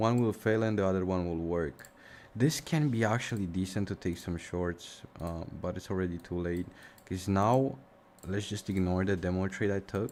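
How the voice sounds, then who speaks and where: The speaker has a slight Romanian accent. The pace is moderate. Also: man, very deep, low pitch for a man, ordinary pitch variation. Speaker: forex trading streamer. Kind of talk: live stream commentary. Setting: live stream. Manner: casual, thinking aloud.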